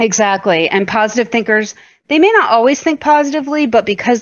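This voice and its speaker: A woman with an American accent and an ordinary speaking voice, fairly high in pitch, lively in intonation, at a moderate pace. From US Northeast (southern Vermont). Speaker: podcast co-host. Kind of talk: casual chat.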